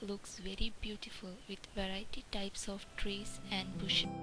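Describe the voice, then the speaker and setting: Someone speaks at a fairly slow pace in a Keralan accent, with noticeable background noise. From India, Kerala. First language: Malayalam. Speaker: ESL community college student. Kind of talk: reading aloud.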